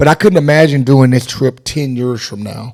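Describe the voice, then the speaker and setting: A man talks in a normal speaking voice. His pitch is medium, with ordinary pitch variation. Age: 50s. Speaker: travel vlogger. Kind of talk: casual chat.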